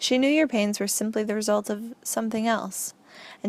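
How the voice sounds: This is a natural reading voice. It is heard on its own.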